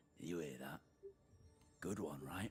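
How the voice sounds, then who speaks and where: In a put-on character voice, a gruff man growls at a very deep, low pitch over clear background noise. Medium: video game. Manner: gruff, rude, crude.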